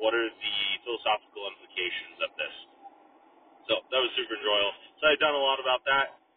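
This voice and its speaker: A man talks at a very fast pace, broken by long, frequent pauses, over noticeable background noise. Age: 30s. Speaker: podcast host. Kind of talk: solo monologue. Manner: casual, with frequent fillers.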